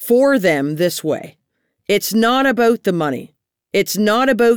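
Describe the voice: Lively intonation shapes plain reading aloud, with the background quiet.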